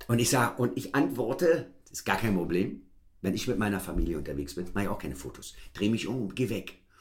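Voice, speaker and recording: A man with a fairly low, somewhat breathy voice talks at a very fast pace with very wide pitch swings. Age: 40s. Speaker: podcast host. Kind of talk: casual chat.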